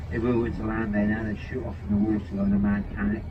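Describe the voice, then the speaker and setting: Someone with a Norfolk accent talks at a very fast pace with ordinary pitch variation over noticeable background noise. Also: man. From Norfolk, England. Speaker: seal-trip boat skipper. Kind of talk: tour guide commentary. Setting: outdoors, on a boat.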